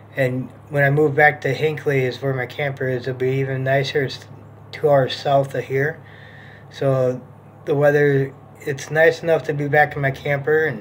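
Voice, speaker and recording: A man speaks at a moderate pace in a monotone, flat intonation. Light background noise can be heard. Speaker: vlogger. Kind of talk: casual vlog chat. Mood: calm, hopeful. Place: home room. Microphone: phone near.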